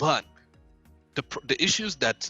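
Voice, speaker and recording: Over music in the background, a man speaks at a moderate pace with a dry, close sound that has no echo. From Saudi Arabia. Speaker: software engineer. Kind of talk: interview answer.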